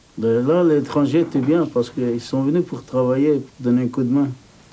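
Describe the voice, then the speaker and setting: Through noticeable background noise, a man with a Turkish accent speaks at a medium pitch with fairly even intonation. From Turkey. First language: Turkish (speaking French). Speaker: immigrant worker interviewee. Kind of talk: documentary interview.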